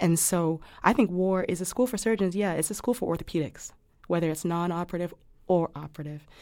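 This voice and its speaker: A woman talks at a very fast pace with a fairly low pitch. Her tone is dark and mellow, and the recording is very clean with a silent background. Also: ordinary pitch variation. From West Africa. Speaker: non-operative orthopedic physician. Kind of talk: interview conversation.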